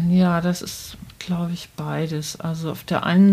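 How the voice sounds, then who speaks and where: At a very slow pace, a woman speaks in a fairly low, somewhat breathy voice with monotone, flat intonation. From northern Germany, Bremen. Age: 60s. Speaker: children's book author. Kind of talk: interview. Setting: author's study at home.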